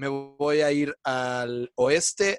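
In a Mexican accent, a man talks at a fairly high pitch, the sound dry and close with no echo. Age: 30s. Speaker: comedy writer. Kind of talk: casual chat. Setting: video call.

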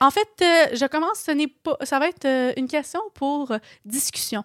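A woman with a Quebec accent, a high pitch, lively intonation, and a fairly slow pace, in a dry, close sound with no echo. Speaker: podcast co-host. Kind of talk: casual chat.

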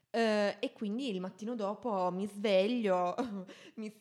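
A woman's plain, everyday voice, medium in pitch, with lively intonation. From Italy. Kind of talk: casual chat.

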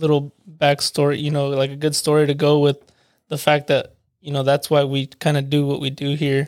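The recording is very clean with a silent background as a man speaks at a fairly high pitch in a monotone, flat way. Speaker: podcast producer. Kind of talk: casual chat.

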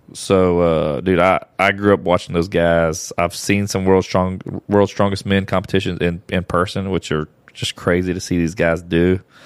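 Monotone and flat, a man with an American accent speaks in a very deep, low voice at a moderate pace. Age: 40s. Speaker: podcast host. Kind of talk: casual chat.

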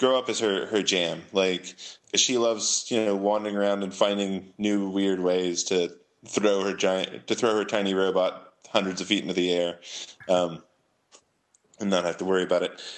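At a moderate pace, a normal speaking voice with an American accent carries fairly even intonation. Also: man, fairly low pitch for a man. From San Francisco Bay Area, California. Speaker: comic book writer. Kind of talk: casual interview chat.

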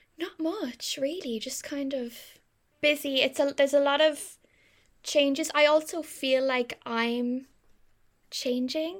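A woman with a Cork accent, high in pitch with ordinary pitch variation, at a very slow pace with long, frequent pauses, on a very clean recording with a silent background. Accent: Irish (Cork). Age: 20s. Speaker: podcast co-host. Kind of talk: casual chat.

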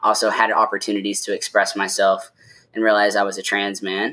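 In an American accent, the speaker delivers a bright, sharp tone with monotone, flat intonation on a very clean recording with a silent background. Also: man. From US South. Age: 30s. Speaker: LGBTQ advocacy group president. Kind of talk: casual chat. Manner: articulate.

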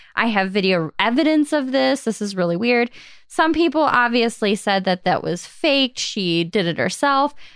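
At a moderate pace, a woman talks at a fairly high pitch with very wide pitch swings. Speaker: podcast co-host. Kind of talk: casual chat. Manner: loud when recording.

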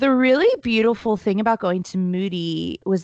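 A woman with an American accent and an ordinary speaking voice, ordinary pitch variation, a fairly slow pace, and a dry, close sound with no echo against a quiet background. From US, military family moving around. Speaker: MC, speaker and finance entrepreneur. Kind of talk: casual interview chat.

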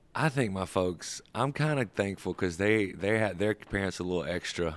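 Speaking at a moderate pace with a Southern US accent, a man uses a fairly low pitch and ordinary pitch variation. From US South, rural Georgia (Sandersville). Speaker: musician, band member. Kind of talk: casual interview chat.

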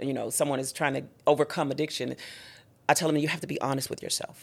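A woman speaks with vocal fry at a very deep, low pitch, in a very clean recording with a silent background. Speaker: gospel singer and minister. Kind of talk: testimony.

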